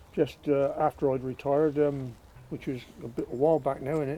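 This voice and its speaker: A man with a West Country accent has a fairly high pitch, a dark, mellow tone and fairly even intonation. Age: 80s+. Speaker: retired allotment gardener. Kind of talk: casual interview. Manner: halting.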